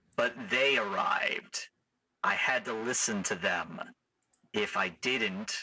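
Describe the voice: Quiet surroundings and plain reading aloud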